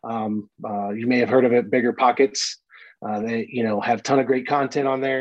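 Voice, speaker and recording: A man at a moderate pace, with fairly even intonation and a quiet background. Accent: American. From Florida, Brooksville. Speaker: marine and real estate investor. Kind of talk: interview. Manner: hesitant, many fillers.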